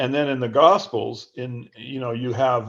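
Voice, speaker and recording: Somewhat breathy man's voice at a fairly slow pace. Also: quiet background. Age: 70s. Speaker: author. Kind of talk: interview. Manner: halting.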